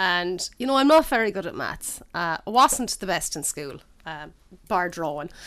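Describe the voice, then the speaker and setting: The voice carries an Irish accent with very wide pitch swings. Its loudness also swings a lot. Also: woman, medium pitch for a woman, moderate pace. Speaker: food podcast host. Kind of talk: casual chat.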